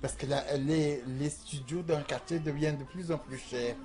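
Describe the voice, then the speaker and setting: With music in the background, a man talks at a moderate pace in a fairly high voice with fairly even intonation. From Algeria, small village. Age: 60s. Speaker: transgender sex worker interviewee. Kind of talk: documentary interview testimony.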